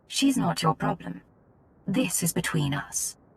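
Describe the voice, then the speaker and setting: A woman does a put-on character voice with a very deep, low pitch. She goes at a fairly slow pace with very wide pitch swings. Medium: video game. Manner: cool, dry.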